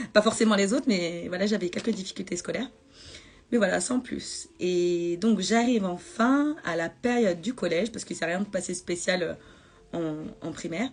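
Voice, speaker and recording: This woman talks at a moderate pace with a medium pitch and ordinary pitch variation. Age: 30s. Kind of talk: personal testimony on Instagram live. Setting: Instagram live video. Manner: halting, many hesitations.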